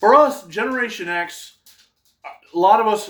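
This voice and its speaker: A man speaks in an upstate New York accent with ordinary pitch variation. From upstate New York, Adirondacks. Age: 40s. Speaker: YouTuber. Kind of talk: casual vlog monologue.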